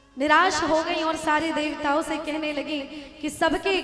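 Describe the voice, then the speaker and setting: A woman's high-pitched voice comes through with music playing behind it. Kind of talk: live devotional katha discourse (Bhagwat katha).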